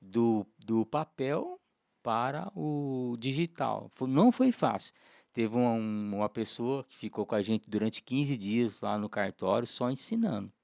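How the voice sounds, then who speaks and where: A man with a normal speaking voice talks at a fairly slow pace at medium pitch, with ordinary pitch variation and big swings in loudness. The recording is very clean with a silent background and a dry, close sound with no echo. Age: 60s. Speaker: lawyer. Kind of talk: casual podcast interview.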